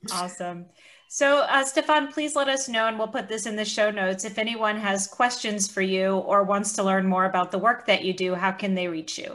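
At a fairly quick pace, a woman talks at a medium pitch in an unremarkable speaking voice. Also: ordinary pitch variation. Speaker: podcast co-host and psychotherapist. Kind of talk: casual interview chat. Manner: playful, teasing.

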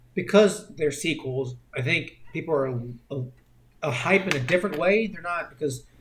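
In an ordinary speaking voice, a man talks at a moderate pace with fairly high pitch and ordinary pitch variation. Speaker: podcast co-host. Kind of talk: casual chat.

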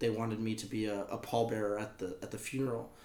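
This is a man speaking. He has an American accent. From Texas. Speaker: singer-songwriter and promoter. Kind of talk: casual interview chat.

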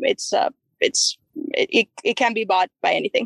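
Recorded with a dry, close sound and no echo, a woman with a Mexican accent speaks at a moderate pace. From Chihuahua, Mexico. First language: Spanish. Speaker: college tennis coach. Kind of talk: casual interview.

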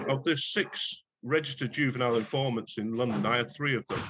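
The speaker is a man with a plain, everyday voice. He has a medium pitch and keeps a moderate pace. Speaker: retired police detective. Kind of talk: casual interview chat. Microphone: poor sound quality in parts.

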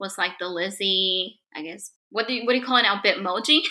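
A woman with a medium pitch and a bright, sharp tone speaks at a fairly quick pace on a very clean recording with a silent background. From Mexico. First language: Spanish. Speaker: guest, Hillary Duff fan. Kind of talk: casual chat.

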